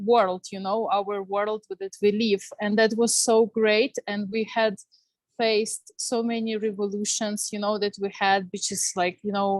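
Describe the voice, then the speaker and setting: With a Ukrainian accent, a woman speaks at a fairly slow pace in a monotone, flat intonation, the sound dry and close with no echo. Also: medium pitch for a woman. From Ukraine, Kyiv. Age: 30s. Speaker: panel speaker, Ukrainian youth organization member. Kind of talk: testimony. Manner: halting, many fillers.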